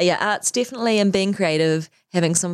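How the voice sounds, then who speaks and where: The speaker has a New Zealand accent. The sound is dry and close, with no echo. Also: woman. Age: 40s. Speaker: fashion designer and business owner. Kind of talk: interview.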